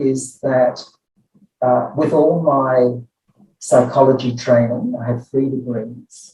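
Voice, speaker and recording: Fairly even in intonation, a man speaks at a medium pitch in a somewhat breathy voice. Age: 70s. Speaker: clinical psychology professor. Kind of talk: interview.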